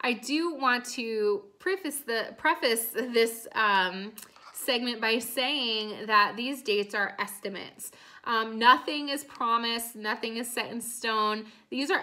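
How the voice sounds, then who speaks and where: Against a quiet background, a woman speaks at a very slow pace. Her tone is bright and sharp. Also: ordinary pitch variation. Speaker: direct sales team leader. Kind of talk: training talk to team. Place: home room. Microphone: phone near.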